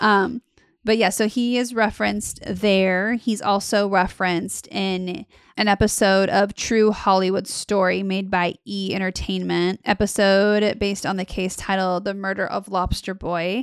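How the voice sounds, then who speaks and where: A woman with a medium pitch speaks on a very clean recording with a silent background. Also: moderate pace. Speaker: podcast host. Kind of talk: casual storytelling podcast. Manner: animated, joking.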